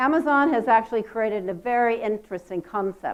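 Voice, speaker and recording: A woman with an American accent, a fairly high pitch, ordinary pitch variation and a moderate pace. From United States. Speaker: conference speaker, tech company executive. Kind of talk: conference keynote talk. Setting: stage with audience.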